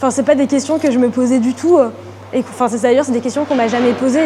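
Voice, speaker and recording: A woman talks in a high voice with fairly even intonation. Noticeable background noise can be heard. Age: 20s. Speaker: art student. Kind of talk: interview. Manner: hesitant, many fillers.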